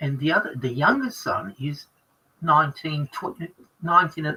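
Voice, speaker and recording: A man with an Australian accent speaks at a fairly quick pace. His fairly high voice has a bright, sharp tone. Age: 60s. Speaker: ex-lawyer guest on a group stream. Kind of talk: casual group chat on a livestream. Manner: halting, many fillers and restarts.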